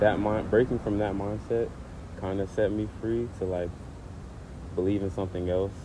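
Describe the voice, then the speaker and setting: Speaking at a moderate pace with long, frequent pauses, a man with a fairly low pitch keeps a monotone, flat intonation amid audible room echo. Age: 20s. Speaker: former college football player. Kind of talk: casual interview.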